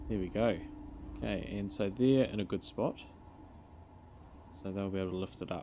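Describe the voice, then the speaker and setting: A man mumbles in a dark, mellow tone. His pitch varies in an ordinary way. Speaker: gaming video creator. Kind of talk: gameplay commentary. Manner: mumbling; casual thinking aloud.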